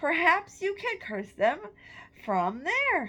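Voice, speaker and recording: A woman uses a put-on character voice with an extremely high pitch. She speaks very slowly, and her pitch swings very widely. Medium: read story. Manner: demanding, impatient.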